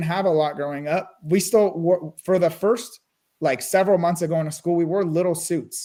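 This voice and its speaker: A Californian accent with fairly even intonation. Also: man. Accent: General American (California). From US West Coast, Burbank California. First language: Russian and Armenian. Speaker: real estate investor. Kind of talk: interview.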